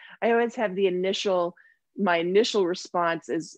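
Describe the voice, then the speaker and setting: An ordinary speaking voice in a Canadian accent, with ordinary pitch variation at a moderate pace against a quiet background. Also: woman. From Toronto, Canada. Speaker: somatic therapist and energy healer. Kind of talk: interview.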